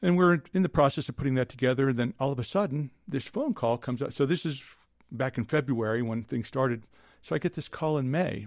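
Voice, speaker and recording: Over a silent background in a very clean recording, a man with a normal speaking voice talks at a fairly quick pace, his fairly high pitch showing ordinary variation. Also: dry, close sound with no echo. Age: 50s. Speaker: psychiatrist. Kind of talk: casual interview.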